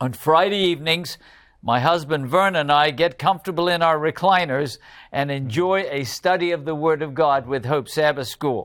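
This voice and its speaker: At a moderate pace, a man speaks in a normal speaking voice with a fairly high pitch and ordinary pitch variation. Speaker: Bible study teacher and pastor. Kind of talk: interactive Bible study lesson. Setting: studio with remote participants.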